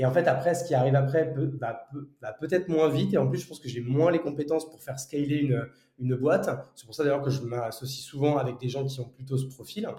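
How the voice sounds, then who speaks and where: A man talks at a very fast pace with a fairly high pitch. His loudness swings a lot. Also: ordinary pitch variation. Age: 30s. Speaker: entrepreneur. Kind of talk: casual interview conversation. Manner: hesitant, many fillers and repetitions.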